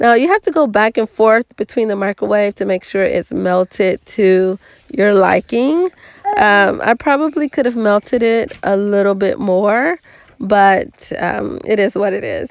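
Recorded dry with no echo, a woman speaks at a fairly slow pace. Her pitch variation is ordinary. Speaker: home cook channel host. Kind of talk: cooking tutorial voice-over.

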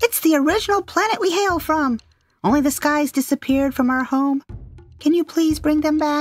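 A high-pitched, put-on character voice moves at a moderate pace. Faint music plays in the background. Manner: nervous, frazzled, defensive.

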